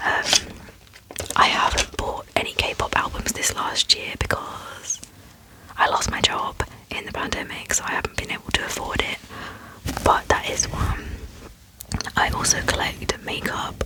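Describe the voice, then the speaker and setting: This woman whispers fairly slowly, leaving long, frequent pauses, with noticeable noise behind her. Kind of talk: ASMR Q&A, casual talk to camera. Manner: soft-spoken, friendly, chatty.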